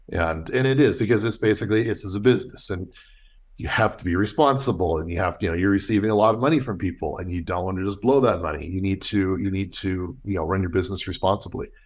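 Fairly low in pitch, a man talks at a very fast pace with ordinary pitch variation. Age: 50s. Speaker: costume maker and business owner. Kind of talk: interview conversation. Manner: halting.

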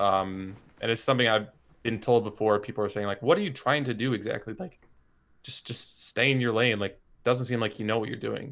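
A man's medium-pitched voice, a normal speaking voice. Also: ordinary pitch variation, fairly quick pace. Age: 20s. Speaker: esports coach and observer. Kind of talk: casual interview.

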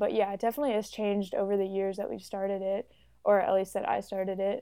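Speaking at a very fast pace, a woman with an American accent has a medium pitch, a dark, mellow tone and fairly even intonation. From Chicago, US Midwest. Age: 20s. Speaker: art student and photographer. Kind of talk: casual chat.

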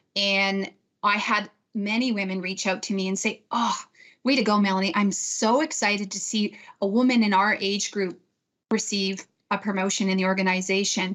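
At a moderate pace and medium pitch, a woman talks in an unremarkable speaking voice. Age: 50s. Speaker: bank manager. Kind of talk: panel discussion.

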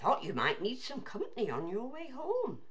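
Someone performs a put-on character voice at a moderate pace. Background noise is clearly audible.

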